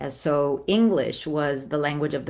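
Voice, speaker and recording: A woman with a Spanish accent speaks in a very deep, low voice. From Colombia, Cali. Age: middle-aged. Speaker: memoir author. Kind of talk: interview.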